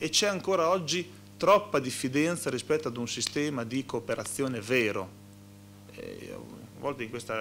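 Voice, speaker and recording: A man's voice with vocal fry and ordinary pitch variation, over noticeable background noise. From Modena, Emilia-Romagna; Emilia-Romagna. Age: 30s. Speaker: regional politician. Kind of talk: panel discussion. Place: meeting room. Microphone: podium.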